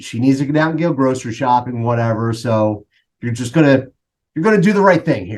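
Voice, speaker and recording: Medium in pitch, a man with a Philadelphia accent speaks with lively intonation. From Philadelphia, US. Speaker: coach. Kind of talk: casual interview.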